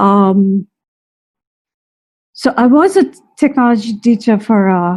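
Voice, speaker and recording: Her voice is somewhat breathy, with a dark, mellow tone. This woman sits at medium pitch, and her pitch varies in an ordinary way. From India. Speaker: teacher. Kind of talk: webinar talk. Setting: live stream webinar. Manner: hesitant, many fillers.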